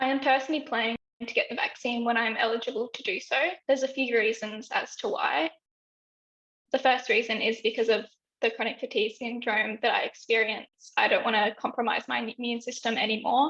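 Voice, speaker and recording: A woman with an Australian accent talks in a fairly high pitch with ordinary pitch variation. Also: fairly quick pace. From Western Australia, Broome. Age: 20s. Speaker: health consumer advocate. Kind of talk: interview testimony. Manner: hesitant with fillers.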